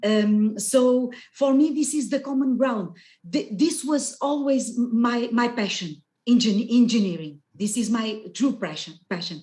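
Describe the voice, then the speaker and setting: Speaking with a Portuguese accent, a woman with a high pitch and a dark, mellow tone talks at a fairly slow pace with lively intonation. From Portugal. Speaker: geoscience researcher and scientist astronaut candidate. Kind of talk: webinar presentation. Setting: video call. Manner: loud.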